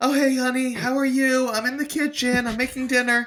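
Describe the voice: A put-on character voice, high in pitch, moves at a fairly quick pace. The intonation stays monotone and flat.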